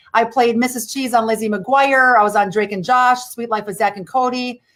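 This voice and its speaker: A woman's very fast speech with a Midwestern accent, fairly high pitch and fairly even intonation. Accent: rural Midwestern, still present. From US Midwest, rural Wisconsin. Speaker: former actress, pop culture speaker. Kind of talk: radio interview.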